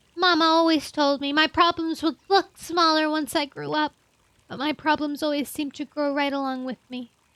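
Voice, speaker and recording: A gruff, put-on character voice speaks at a moderate pace with fairly even intonation. The sound is dry and close, with no echo. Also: woman, high pitch for a woman. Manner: muttering.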